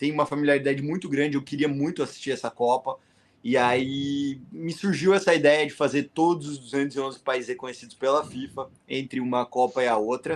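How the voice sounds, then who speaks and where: Pitched fairly high, a man talks in an ordinary speaking voice. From Paraná, southern Brazil. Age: 30s. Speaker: world traveller. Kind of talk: podcast interview.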